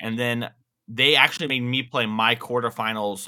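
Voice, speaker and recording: At a moderate pace, a man of medium pitch talks in a plain, everyday voice. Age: 20s. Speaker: competitive card game player. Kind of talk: casual chat.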